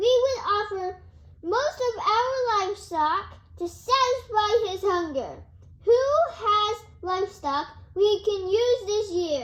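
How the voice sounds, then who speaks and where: A woman does a put-on character voice that is squeaky and extremely high-pitched, with lively intonation at a fairly slow pace. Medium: stage play. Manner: authoritative.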